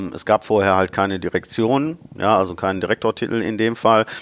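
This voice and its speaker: A man with an ordinary speaking voice and fairly low pitch talks at a moderate pace with fairly even intonation, the sound dry and close with no echo. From Ruhr area, Germany (Bottrop). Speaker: automotive marketing director. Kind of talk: interview.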